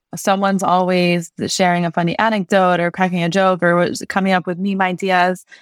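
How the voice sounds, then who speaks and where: A woman with a Californian accent speaks at a moderate pace and fairly low pitch, captured in dry, close sound with no echo on a very clean recording with a silent background. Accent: Californian American English. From California, US West Coast. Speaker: media company executive. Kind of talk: casual interview.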